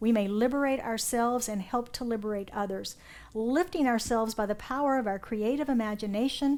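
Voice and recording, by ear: A natural voice reading aloud, pitch shifting in an ordinary way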